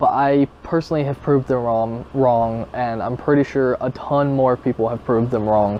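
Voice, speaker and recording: At a moderate pace and with hardly any pauses, a man of medium pitch keeps his intonation fairly even against noticeable background noise. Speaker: gaming youtuber. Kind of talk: casual vlog commentary. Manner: calm; stuttering, halting.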